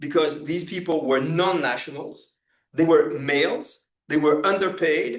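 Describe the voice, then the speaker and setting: In a French accent, a man speaks at a fairly slow pace with fairly high pitch and fairly even intonation. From France. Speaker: professor. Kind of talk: lecture. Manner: halting, many fillers and repetitions.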